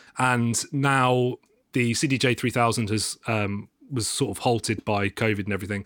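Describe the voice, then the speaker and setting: In a plain, everyday voice, a man talks at medium pitch and a moderate pace with fairly even intonation. The sound is dry and close with no echo, on a very clean recording with a silent background. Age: 30s. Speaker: mastering engineer and DJ. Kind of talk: casual chat.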